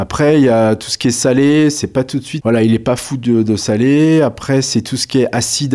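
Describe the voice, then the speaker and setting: A man's voice has a dark, mellow tone and fairly even intonation. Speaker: dietitian nutritionist. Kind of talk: interview. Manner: hesitant, many fillers.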